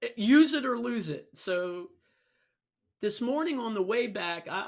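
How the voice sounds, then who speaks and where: On a very clean recording with a silent background, a woman speaks at a fairly slow pace in an animated tone with lively intonation. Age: 60s. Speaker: vlogger. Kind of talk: casual monologue.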